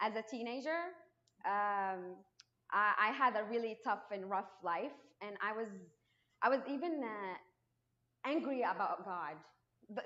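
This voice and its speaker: A fairly high-pitched woman with lively intonation. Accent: Moroccan. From Morocco. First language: Arabic. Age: 20s. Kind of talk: testimony. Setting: church, unamplified, speaking to congregation. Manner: halting, with frequent restarts; trying to speak louder.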